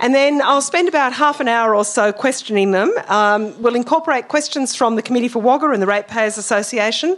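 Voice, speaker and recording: Speaking at a fairly quick pace with hardly any pauses, a woman with an Australian accent uses a high pitch and ordinary pitch variation. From rural New South Wales, Australia. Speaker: debate moderator, journalist. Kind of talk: debate moderation.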